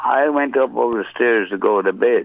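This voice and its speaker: A man with a Newfoundland accent, at a fairly slow pace. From Newfoundland, Canada (St. John's). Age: 70s. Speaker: caller. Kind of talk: storytelling. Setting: phone call.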